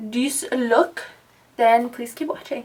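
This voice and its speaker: A woman's high-pitched voice at a fairly slow pace. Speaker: makeup vlogger. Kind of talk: makeup tutorial talk-over. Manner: soft-spoken; casual.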